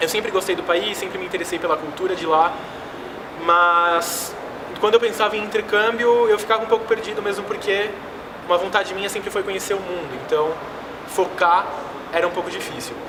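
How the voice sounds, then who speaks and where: A man's raised, projected voice, high-pitched and fairly even in intonation, at a fairly quick pace with long, frequent pauses and noticeable background noise. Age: 20s. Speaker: exchange student. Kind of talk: personal vlog testimony.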